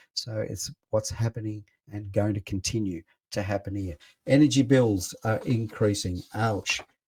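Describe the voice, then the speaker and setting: Somewhat breathy speech with an Australian accent comes through on a very clean recording with a silent background. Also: man, fairly low pitch for a man, ordinary pitch variation, moderate pace. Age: 60s. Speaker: radio host. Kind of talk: radio talk show monologue. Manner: animated.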